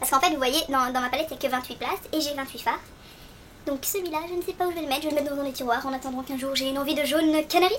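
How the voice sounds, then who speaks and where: Very fast delivery with ordinary pitch variation. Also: woman. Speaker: beauty vlogger. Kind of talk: product review tutorial.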